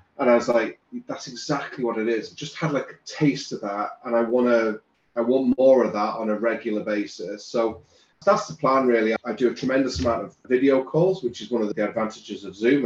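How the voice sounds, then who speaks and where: This man has an ordinary speaking voice at a medium pitch with ordinary pitch variation. He talks at a fairly quick pace, with big swings in loudness. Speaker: business coach and author. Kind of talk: casual interview chat.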